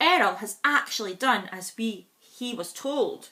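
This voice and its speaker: Putting on a shrill character voice, a woman speaks fairly slowly at a fairly high pitch with lively intonation. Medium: read story. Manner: cross, screechy.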